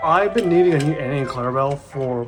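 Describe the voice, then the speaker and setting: Music plays in the background as the voice moves at a very fast pace. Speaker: toy train collector. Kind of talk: casual unboxing talk to camera.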